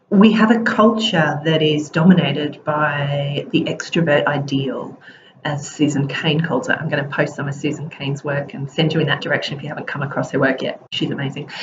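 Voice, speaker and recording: Over noticeable background noise, a woman talks at a fairly quick pace. Her pitch is very deep and low, with ordinary variation. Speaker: leadership coach. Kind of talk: casual vlog talk to camera. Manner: hesitant, with fillers.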